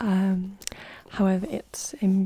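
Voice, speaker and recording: The voice is soft-spoken. Its tone is calm. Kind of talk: ASMR tarot card showcase, soft-spoken talk to camera. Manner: soft-spoken, calm, relaxing.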